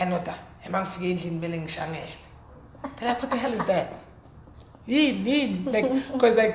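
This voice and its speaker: The speech moves at a fairly quick pace, broken by long, frequent pauses. Noticeable background noise runs underneath. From South Africa, Heidelberg (Gauteng). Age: 20s. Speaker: rapper. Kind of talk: interview. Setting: hotel interview. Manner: articulate; halting, repeats words.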